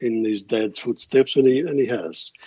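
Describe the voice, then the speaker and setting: With an Australian accent, a man speaks at a moderate pace and medium pitch, using ordinary pitch variation, in a dry, close sound with no echo. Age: 70s. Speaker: musician. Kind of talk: interview.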